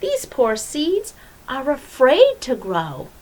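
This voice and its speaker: At a very slow pace, a woman puts on a character voice pitched high. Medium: read story. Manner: calm, gentle.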